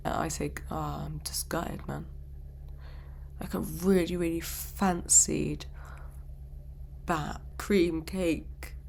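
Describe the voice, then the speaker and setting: Someone with a British accent speaks at a very slow pace. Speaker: YouTuber reacting to videos. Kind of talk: reaction video commentary. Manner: casual, chatty.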